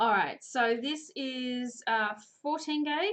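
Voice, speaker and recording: Here a woman speaks with an Australian accent. Her pitch is high and her pace fairly slow. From Australia, New South Wales (Coffs Harbour). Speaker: chain maille crafts teacher. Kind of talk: live tutorial. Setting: live stream. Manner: chatty.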